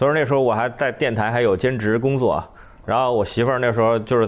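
This man has a normal speaking voice at a medium pitch. He talks at a fairly quick pace with fairly even intonation. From northern China. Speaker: comedian, former radio news commentator. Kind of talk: casual chat.

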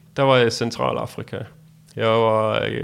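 This is an ordinary speaking voice from a man at a medium pitch. His intonation is fairly even. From Denmark. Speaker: world traveler. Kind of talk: interview.

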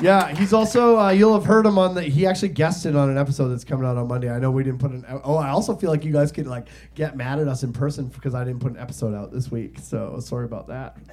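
A man's fairly high, somewhat breathy voice, animated in tone, with lively intonation at a very fast pace and hardly any pauses. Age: 40s. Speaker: podcast host and comedian. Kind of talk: live stand-up comedy, bantering with the crowd and co-hosts. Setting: stage with live audience. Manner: animated, jokey, sarcastic crowd-work delivery.

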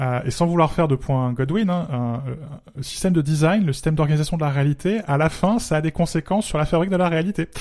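Recorded very cleanly against a silent background, a man with a fairly high pitch talks at a very fast pace with ordinary pitch variation. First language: Spanish (speaking French). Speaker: podcast co-host. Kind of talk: casual chat.

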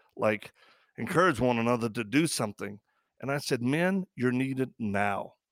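A man speaks at a moderate pace with a medium pitch and ordinary pitch variation. The recording is very clean, dry and close, with a silent background and no echo. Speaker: podcast host and ministry founder. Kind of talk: casual chat. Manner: animated.

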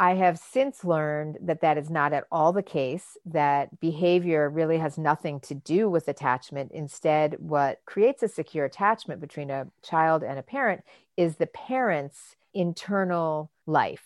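With an American accent, a woman speaks at a very deep, low pitch and a fairly slow pace, using ordinary pitch variation and hardly any pauses. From Michigan. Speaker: author and researcher. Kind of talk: interview.

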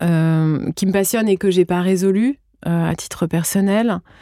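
A woman speaks at a medium pitch with fairly even intonation and a dark, mellow tone. The sound is dry and close with no echo, on a very clean recording with a silent background. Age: 40s. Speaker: podcast host and yoga teacher. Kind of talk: casual interview.

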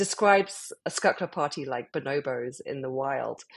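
A woman speaks with a British accent at a moderate pace. Her intonation is lively. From UK. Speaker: club founder. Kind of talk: interview.

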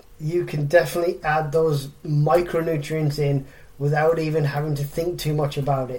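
With an English accent, a man speaks at a moderate pace in a fairly high, somewhat breathy voice, his intonation monotone and flat. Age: 40s. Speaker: fitness coach and podcast host. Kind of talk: solo podcast monologue.

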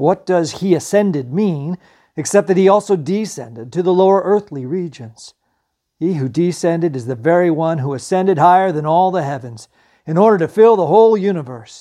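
Against a quiet background, a man talks at a fairly quick pace with lively intonation. His voice is high-pitched with a dark, mellow tone. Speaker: podcast host and Bible teacher. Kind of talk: scripture reading aloud, solemn and devotional, with a spoken prayer at the end. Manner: measured, reverent, steady reading pace.

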